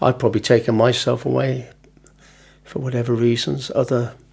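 A man speaks at a fairly slow pace, somewhat breathy and in monotone, flat intonation. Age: 70s. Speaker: retired outdoor education worker. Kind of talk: testimony.

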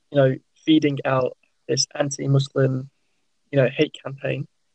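This man's voice is fairly high, somewhat breathy, and monotone with flat intonation. The sound is dry and close, with no echo. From West Midlands England, Worcester. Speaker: pharmacist and charity volunteer. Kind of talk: casual chat.

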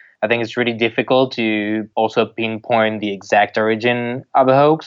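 The man's voice stays at a medium pitch with monotone, flat intonation, moving at a moderate pace. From Nice, south of France. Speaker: fact-checking project coordinator. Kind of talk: interview. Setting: phone call.

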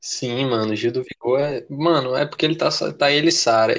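This is a man's voice. His pitch is fairly high. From Brazil. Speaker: podcast co-host. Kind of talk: casual chat.

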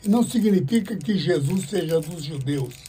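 Speaking fairly slowly, a man with a high pitch uses lively intonation. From Brazil, interior of São Paulo (born in Paraná). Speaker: evangelist pastor. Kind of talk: interview, life story. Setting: radio studio.

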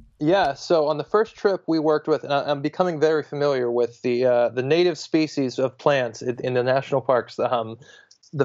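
A man with an American accent speaks at a fairly high pitch. He keeps a moderate pace and ordinary pitch variation. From US, Pittsburgh, Pennsylvania. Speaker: entrepreneur, travel company founder. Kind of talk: podcast interview. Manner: halting, many repeated words.

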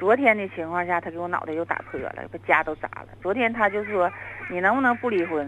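Female speech at a fairly quick pace with ordinary pitch variation over noticeable background noise. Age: 40s. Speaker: caller. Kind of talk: phone-in confession.

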